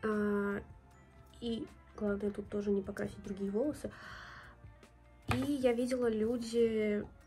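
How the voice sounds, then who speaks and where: A woman's voice with ordinary pitch variation, faint music in the background. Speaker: beauty vlogger. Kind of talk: casual tutorial vlog chat. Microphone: phone near.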